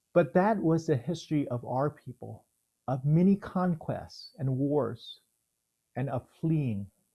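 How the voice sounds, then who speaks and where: A man speaks with an American accent at a fairly slow pace, his tone dark, mellow and somewhat breathy. His pitch is fairly high and his intonation lively. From Houston, Texas (born Vietnam). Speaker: theologian. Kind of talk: reading aloud.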